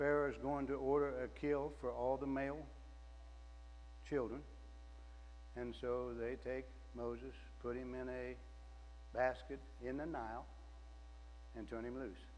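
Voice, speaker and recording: A man speaks fairly slowly, leaving long, frequent pauses. Room echo is audible throughout. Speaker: lay preacher. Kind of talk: sermon. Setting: church. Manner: loud.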